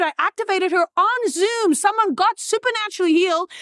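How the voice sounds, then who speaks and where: Sounding dry and close with no echo, a woman with an extremely high pitch talks at a fairly quick pace in a passionate tone with ordinary pitch variation. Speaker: revivalist preacher. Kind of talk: fervent sermon-like testimony. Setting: event crowd, conference. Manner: passionate, emphatic, preaching-style exhortation.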